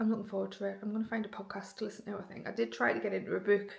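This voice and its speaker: A woman speaks at medium pitch with fairly even intonation. Vocal fry runs through her voice. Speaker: fitness vlogger. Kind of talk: casual vlog talk. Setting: at home after run.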